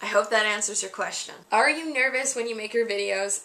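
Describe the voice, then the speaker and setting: A woman is speaking. Her pitch sits fairly high. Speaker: vlogger. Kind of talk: Q&A vlog monologue. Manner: shaky.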